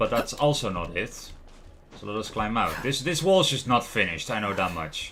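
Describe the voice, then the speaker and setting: Here a man with a Dutch accent speaks at a fairly quick pace and medium pitch. His bright, sharp tone swings very widely in pitch. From Netherlands. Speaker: gaming streamer. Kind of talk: live gameplay commentary.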